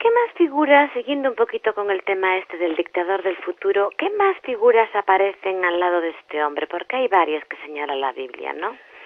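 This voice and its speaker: Against noticeable background noise, a woman at medium pitch talks at a fairly quick pace with very wide pitch swings and hardly any pauses. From Spain. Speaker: journalist, interviewer. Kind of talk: interview questions.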